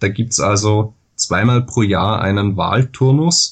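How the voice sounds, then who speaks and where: A man speaks with an Austrian accent at a fairly low pitch. His intonation is fairly even and his voice somewhat breathy. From Austria, Vorarlberg (Dornbirn). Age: 20s. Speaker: Wikipedia author, law student. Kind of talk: interview.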